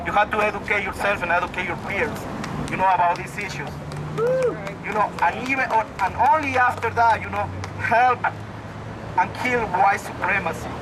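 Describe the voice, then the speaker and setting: A man with a high voice and a strong non-native accent talks at a moderate pace with ordinary pitch variation, leaving long, frequent pauses while a crowd murmurs in the background. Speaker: protest speaker. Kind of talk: rally speech. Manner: halting.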